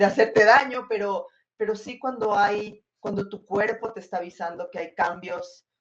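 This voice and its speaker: At a moderate pace, a woman with an unremarkable speaking voice talks at a medium pitch, with ordinary pitch variation and big swings in loudness. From Ecuador. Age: 40s. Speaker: film director. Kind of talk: interview.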